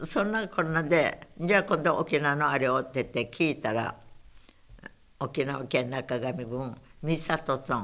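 A woman is speaking. Her pace is fairly slow. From Saipan, Okinawan family. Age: 90s. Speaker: war survivor. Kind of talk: oral history interview.

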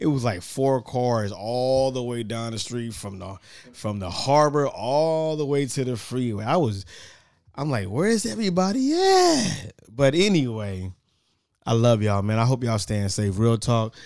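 At a moderate pace, a man with a medium pitch speaks in an animated tone with lively intonation, captured in a very clean recording against a silent background. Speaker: podcast host. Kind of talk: casual chat.

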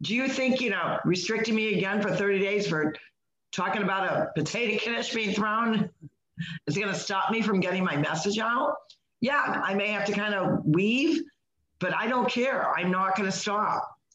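A normal speaking voice from a woman, medium in pitch, at a moderate pace, with very even loudness and ordinary pitch variation. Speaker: podcast host. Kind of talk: casual chat.

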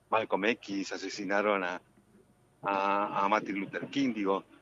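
A bright, sharp tone, dry and close with no echo, over a quiet background. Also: man. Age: 60s. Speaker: actor. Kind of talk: radio interview. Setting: phone call. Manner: halting.

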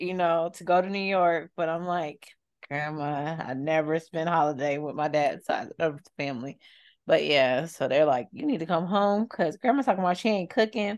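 Hers is an unremarkable speaking voice. The woman's intonation is lively, and her pace is moderate. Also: fairly low pitch for a woman, quiet background. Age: 30s. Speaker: podcast co-host. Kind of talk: casual chat.

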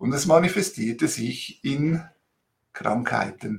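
At a very slow pace, a man with a fairly high, somewhat breathy voice makes very wide pitch swings. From Switzerland, Italian immigrant family. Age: 50s. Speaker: interviewee sharing life story. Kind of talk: personal testimony in interview. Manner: animated, temperamental.

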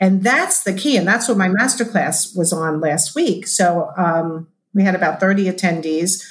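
A somewhat breathy voice at a moderate pace, with hardly any pauses, very even loudness and ordinary pitch variation. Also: woman, medium pitch for a woman. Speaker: business coach and body language expert. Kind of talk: casual interview chat. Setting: video call.

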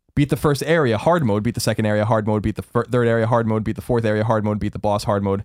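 Very fast speech with an American accent on a very clean recording with a silent background. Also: man. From US Northeast, Long Island. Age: 30s. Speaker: video game podcast co-host. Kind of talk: casual chat.

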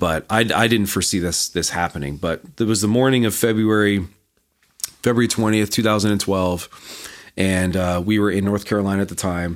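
A normal speaking voice from a man, fairly low in pitch, moving at a fairly quick pace with very even loudness and fairly even intonation. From Canada. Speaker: marketing agency founder. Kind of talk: casual interview.

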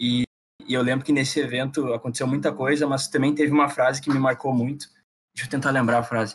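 A man rushes at a very fast pace in a medium-pitched, somewhat breathy voice with monotone, flat intonation. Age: 20s. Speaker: aerospace engineering student, student company president. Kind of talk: casual chat.

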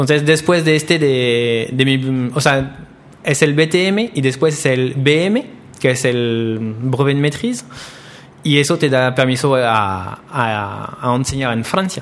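A man with a French accent speaks very slowly. His pitch is medium, with ordinary variation. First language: French (speaking Spanish). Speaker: pastry chef. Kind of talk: interview.

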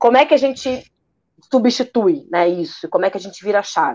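A woman's voice swings very widely in pitch. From Rio de Janeiro (Praça Seca). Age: 30s. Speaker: architect and urbanist, activist. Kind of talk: interview.

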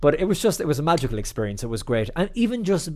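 A man talks with an Irish accent. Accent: Irish (Clare). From Ireland, County Clare. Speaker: TV and radio reporter. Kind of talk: interview. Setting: video call.

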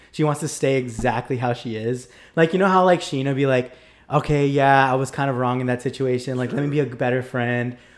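A man talks in a plain, everyday voice at a medium pitch. His pace is fairly quick and his intonation fairly even. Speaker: podcast guest. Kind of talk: casual chat.

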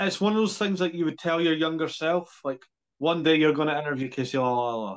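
At a fairly quick pace, a man talks at a fairly high pitch in a plain, everyday voice. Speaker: podcast host. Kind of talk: casual interview.

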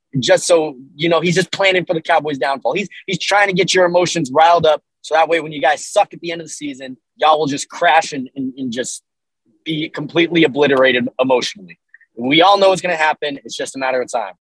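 A man with an American accent talks at a very fast pace, fairly high in pitch with ordinary variation. The sound is dry and close, with no echo. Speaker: co-host, sports podcast. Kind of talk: casual sports chat. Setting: traveling, stuck in Austin.

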